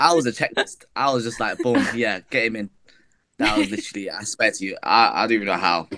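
Speaking in a British accent, a man keeps a fairly quick pace. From England. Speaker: podcast host. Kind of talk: casual chat. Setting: video call.

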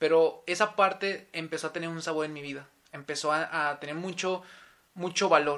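At a fairly quick pace, a man talks in a fairly high pitch with a bright, sharp tone and fairly even intonation. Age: 20s. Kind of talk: casual interview, faith testimony.

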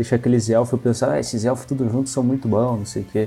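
A man's dark, mellow tone comes with fairly even intonation. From Rio Grande do Sul, Brazil (Santa Maria). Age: 20s. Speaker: card game player. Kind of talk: casual chat.

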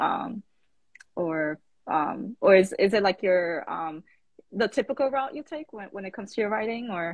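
A woman with an ordinary speaking voice and an American accent talks at a medium pitch. Her pace is fairly slow and her intonation lively. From the Bronx, New York. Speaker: interviewer. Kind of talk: casual interview. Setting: Instagram live video.

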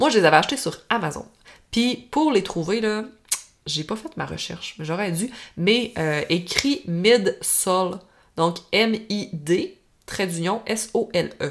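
A woman speaks in a Saguenay–Lac-Saint-Jean accent at a medium pitch. Her pace is very slow and her intonation lively. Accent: Quebec French, Saguenay–Lac-Saint-Jean. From Quebec, Lac-Saint-Jean. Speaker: equestrian coach and podcast host. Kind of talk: solo podcast monologue, tips and advice. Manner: casual, conversational.

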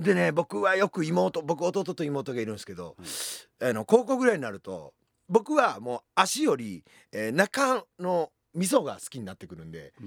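Recorded very cleanly with a silent background and a dry, close sound with no echo, a man speaks at a fairly slow pace with big swings in loudness. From Japan, Fukui Prefecture (Tsuruga). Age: 40s. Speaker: comedian. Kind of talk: casual chat.

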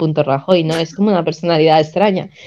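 A woman speaks at a moderate pace with a fairly low pitch. Her tone is dark and mellow, with ordinary pitch variation. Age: 20s. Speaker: podcast co-host. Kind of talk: casual chat.

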